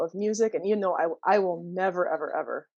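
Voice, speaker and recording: A woman with a plain, everyday voice talks at a medium pitch and a fairly quick pace, with ordinary pitch variation, against a quiet background. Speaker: singer in a dream pop band. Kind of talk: casual interview chat.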